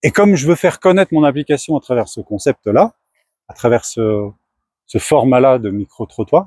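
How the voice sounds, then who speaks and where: Very wide swings in pitch from a man with a fairly high voice. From France. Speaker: startup founder. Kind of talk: casual talk to camera.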